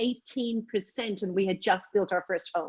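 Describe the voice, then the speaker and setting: Speaking at a moderate pace, a woman with a medium pitch talks in an Irish accent. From Ireland, Dublin. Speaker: direct sales leader. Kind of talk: training call talk.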